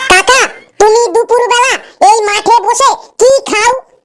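In a cartoonish character voice, a woman squeaks at an extremely high pitch with fairly even intonation and a moderate pace. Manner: boastful, exaggerating.

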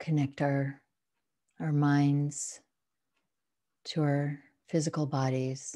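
A woman speaks at a very slow pace with long, frequent pauses, her very deep, low voice flat and monotone, her tone soothing and calm, against a quiet background. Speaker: meditation guide. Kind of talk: guided meditation. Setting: home, at home with a dog in the room. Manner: slow, soothing, calm and unhurried; gentle, instructional. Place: home room. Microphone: video call.

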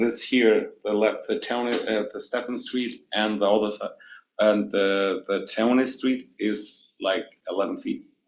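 A man speaks at a fairly slow pace with a non-native accent. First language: not English. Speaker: building owner presenting to planning board. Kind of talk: public meeting testimony. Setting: city planning board meeting. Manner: halting.

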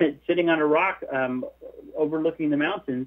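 A man's plain, everyday voice, fairly high in pitch, with an American accent. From US, Southern California. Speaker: missionary and author. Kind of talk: interview.

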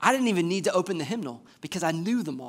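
Animated and lively in intonation, a man with an American accent talks at a fairly quick pace. The background is quiet. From US South, Georgia (Warner Robins). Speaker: assistant pastor. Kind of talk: sermon. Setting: church. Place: church.

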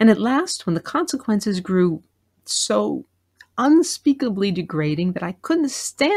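The background stays quiet. A person reads aloud plainly.

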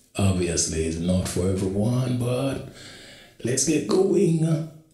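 Music plays in the background as a man at a medium pitch speaks at a very slow pace, his pitch swinging very widely. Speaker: reaction video host. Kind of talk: casual talk to camera.

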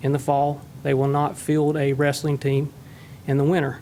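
The speech moves at a moderate pace in a flat, monotone intonation. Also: man. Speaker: member of the public speaking at a meeting. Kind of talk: public comment.

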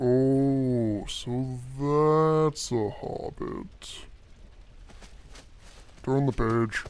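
In a put-on character voice at medium pitch, a man talks at a very slow pace with long, frequent pauses.

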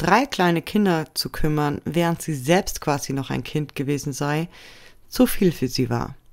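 An unremarkable speaking voice from a woman, fairly slow, with lively intonation on a very clean recording against a silent background. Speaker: true crime video narrator. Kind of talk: scripted true-crime documentary narration, serious and factual. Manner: measured, even-paced and sombre; formal, informative, addressing viewers directly.

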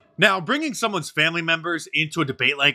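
A man speaks with a bright, sharp tone and very wide pitch swings. The background is quiet. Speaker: political commentary youtuber. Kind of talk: video commentary. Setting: home studio. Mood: sarcastic, opinionated.

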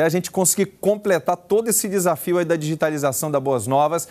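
His pace is fairly quick. The man's voice sits high in pitch. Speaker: pastor, TV presenter. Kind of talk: fundraising appeal to viewers. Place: studio. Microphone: lapel.

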